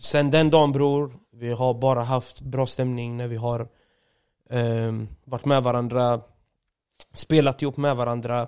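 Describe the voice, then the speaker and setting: At a fairly slow pace, the speaker talks with monotone, flat intonation and long, frequent pauses. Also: man, medium pitch for a man. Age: 30s. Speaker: streamer. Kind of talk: casual chat.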